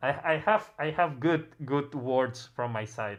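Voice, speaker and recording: A fairly slow delivery in a Catalan accent. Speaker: music producer livestream host. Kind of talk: casual livestream interview. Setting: livestream. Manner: halting, many repetitions.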